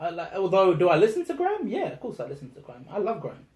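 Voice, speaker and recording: In a South London accent, a man talks with lively intonation. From South London, England. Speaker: rapper. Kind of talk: interview. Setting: in person, London.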